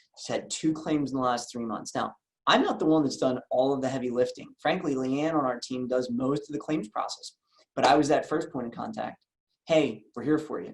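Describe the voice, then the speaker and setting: With an American accent, a man at medium pitch speaks at a fairly quick pace with ordinary pitch variation. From US Northeast, Philadelphia. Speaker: insurance agency owner and sales trainer. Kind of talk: training session. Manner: fast; energetic.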